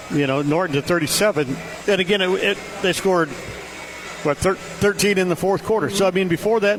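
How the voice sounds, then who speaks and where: A man with an American accent talks fairly quickly in a high voice, with ordinary pitch variation and very even loudness. He leaves long, frequent pauses, and background noise is noticeable. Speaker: radio sports broadcaster. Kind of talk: halftime interview. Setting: courtside radio broadcast. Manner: halting.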